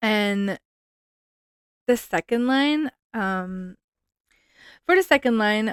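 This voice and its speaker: A woman speaks with a Quebec French accent. The recording is very clean with a silent background, and the sound is dry and close with no echo. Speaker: podcast host, hockey fan. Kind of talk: casual podcast monologue. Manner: hesitant, searching for words.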